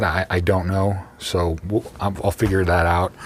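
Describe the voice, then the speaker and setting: A man is heard through noticeable background noise. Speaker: YouTuber reviewing subwoofers. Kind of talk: casual video tour. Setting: unheated coach in freezing weather. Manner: hesitant, many fillers.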